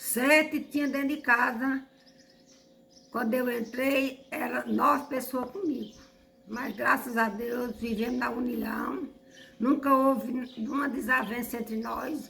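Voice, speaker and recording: A woman speaks at a very slow pace with long, frequent pauses. Her pitch is high and her intonation fairly even, with noticeable background noise. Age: 70s. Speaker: elderly resident. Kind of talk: documentary interview.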